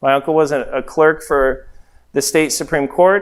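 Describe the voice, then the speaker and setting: A fairly high-pitched man with an American accent at a moderate pace. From Las Vegas, Nevada, US West. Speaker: real estate investor and trainer. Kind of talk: training seminar talk. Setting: training room with live audience and livestream.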